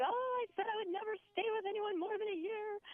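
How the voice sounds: This put-on character voice sounds squeaky, moving at a fairly quick pace with ordinary pitch variation. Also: woman, extremely high pitch for a woman.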